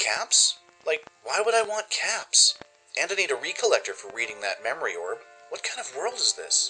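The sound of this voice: A man puts on a character voice with a fairly high pitch, big pitch swings, and a bright, sharp tone with a slightly husky edge. He keeps a moderate pace over faint background music.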